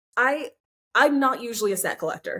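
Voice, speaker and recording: A woman in a Californian accent at a fairly quick pace. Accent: General American (Californian). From Southern California. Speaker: collector. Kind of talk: casual interview chat. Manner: stutters when excited.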